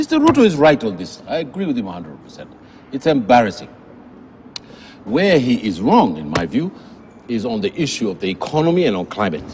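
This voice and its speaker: Over noticeable background noise, a man speaks at a fairly quick pace in an animated tone. His pitch swings very widely. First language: a Kenyan language, English is second or third. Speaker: policy research fellow, TV news guest. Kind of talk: TV panel discussion. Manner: animated, emphatic.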